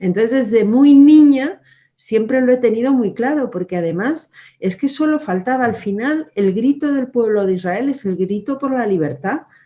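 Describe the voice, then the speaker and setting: Against a quiet background, a woman with a high pitch and a dark, mellow tone talks at a moderate pace with lively intonation. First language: German (speaking Spanish). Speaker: politician. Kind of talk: interview.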